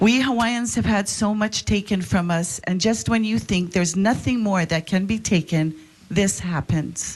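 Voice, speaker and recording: Her voice somewhat breathy, a woman speaks with ordinary pitch variation. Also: medium pitch for a woman, moderate pace, very even loudness. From Hawaii. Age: 60s. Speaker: public testifier at legislative hearing. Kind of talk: public testimony. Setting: legislative committee hearing.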